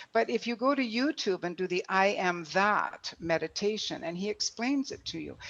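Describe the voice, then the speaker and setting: This woman has an ordinary speaking voice at a medium pitch, with lively intonation. She talks at a moderate pace with hardly any pauses. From Canada. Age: 60s. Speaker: author and speaker. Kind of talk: motivational talk.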